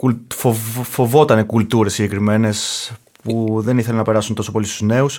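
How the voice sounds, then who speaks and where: Speaking very fast in a monotone, flat delivery, a man with a Greek accent holds a medium pitch. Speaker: podcast host. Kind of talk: casual chat. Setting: studio.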